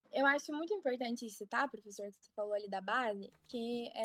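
Fairly quick and high-pitched, a woman speaks with ordinary pitch variation in a dry, close sound without echo. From Paraná, Brazil (Ponta Grossa). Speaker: medical student. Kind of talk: interview.

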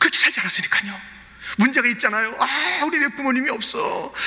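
Over noticeable background noise, a man with an extremely high pitch speaks very fast in an animated tone, his pitch varying in an ordinary way. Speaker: pastor. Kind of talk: sermon.

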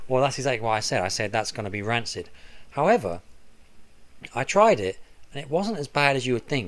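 In a southern English accent, a man talks at a fairly quick pace with long, frequent pauses. His pitch is medium and his intonation lively. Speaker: podcast co-host, golf caddie. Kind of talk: casual chat. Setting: home recording room.

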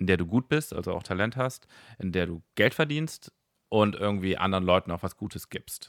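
The recording is very clean with a silent background and a dry, close sound with no echo as a man speaks at a fairly quick pace. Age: 40s. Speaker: stand-up comedian and former startup founder. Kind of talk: casual chat.

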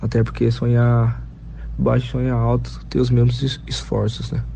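Over noticeable background noise and audible room echo, a man speaks at a fairly slow pace in a very deep, low voice. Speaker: football player. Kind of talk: interview.

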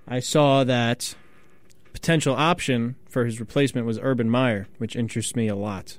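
In a normal speaking voice, a man talks at a moderate pace and a medium pitch with fairly even intonation. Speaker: college radio co-host. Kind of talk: sports talk radio. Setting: studio.

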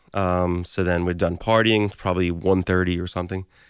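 A man's very deep, low voice at a moderate pace, on a very clean recording with a silent background. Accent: Brooklyn. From Brooklyn, New York City. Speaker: audio engineer. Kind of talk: personal storytelling. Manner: casual, conversational.

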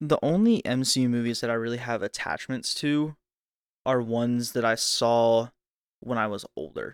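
In a very clean recording with a silent background, a man with a normal speaking voice and medium pitch talks at a moderate pace and with fairly even intonation. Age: 20s. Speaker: podcast co-host. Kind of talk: casual chat.

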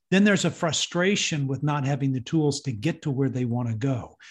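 A man with a Texan accent talks at a moderate pace, his intonation lively. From Texas. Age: 60s. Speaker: parenting ministry leader. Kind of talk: interview. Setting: video call.

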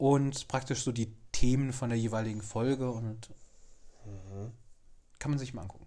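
At a moderate pace, the clip carries a normal speaking voice. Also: man. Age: 30s. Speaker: podcast co-host. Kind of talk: casual chat.

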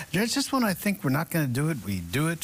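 A man speaks in a somewhat breathy voice. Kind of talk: morning weather forecast. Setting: studio. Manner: casual, conversational.

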